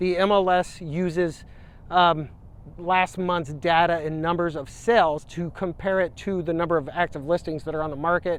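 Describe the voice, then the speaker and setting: This man's voice is high in pitch, with monotone, flat intonation. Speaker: realtor. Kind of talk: market update talk to camera. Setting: outdoors by a river. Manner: fast; casual, with fillers.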